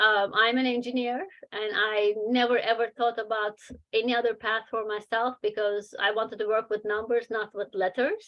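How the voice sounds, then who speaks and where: With a non-native accent, a woman speaks at a fairly high pitch in monotone, flat intonation. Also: moderate pace. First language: not English. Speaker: children's book author and publisher. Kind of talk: webinar talk with Q&A. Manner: hesitant, many fillers.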